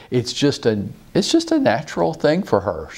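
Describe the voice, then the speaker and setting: This man talks at a moderate pace. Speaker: real estate business coach. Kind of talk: lecture. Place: office. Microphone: lapel.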